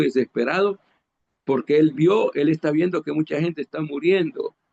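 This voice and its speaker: Here a man speaks at a moderate pace. The sound is dry and close, with no echo. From Honduras. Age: 60s. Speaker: preacher. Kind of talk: sermon. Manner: halting, with frequent repetitions.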